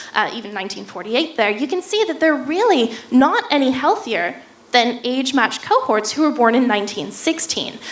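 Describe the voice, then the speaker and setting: Talking at a fairly quick pace with hardly any pauses, a woman with an American accent and a high pitch makes very wide pitch swings amid noticeable background noise and audible room echo. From United States. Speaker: neuroscience researcher. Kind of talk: public lecture.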